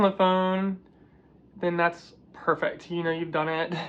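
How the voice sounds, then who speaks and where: Against a quiet background, a woman speaks at a fairly slow pace with monotone, flat intonation. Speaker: vlogger sharing personal transition experience. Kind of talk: casual advice monologue. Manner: casual, many fillers.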